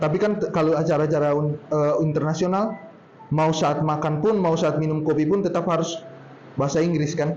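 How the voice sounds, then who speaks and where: A man at a fairly high pitch, fairly quick pace, fairly even intonation and very even loudness, with noticeable background noise and audible room echo. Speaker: speaker at a public speaking workshop. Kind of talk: workshop talk. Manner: casual, conversational.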